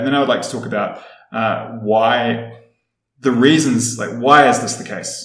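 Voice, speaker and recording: A man at a moderate pace with a New Zealand accent, medium pitch and fairly even intonation, with audible room echo. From New Zealand, Wellington. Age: 30s. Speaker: podcast guest. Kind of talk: casual interview chat.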